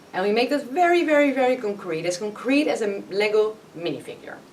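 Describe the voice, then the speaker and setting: With noticeable background noise behind her, a woman talks at a very fast pace with lively intonation. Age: 30s. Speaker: business consultant and workshop facilitator. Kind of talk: podcast interview. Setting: company meeting room.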